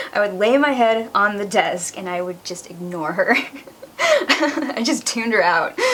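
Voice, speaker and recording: Over noticeable background noise, a woman speaks at a fairly slow pace with a medium pitch and lively intonation. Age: 20s. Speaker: vlogger sharing personal story. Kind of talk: personal testimony vlog.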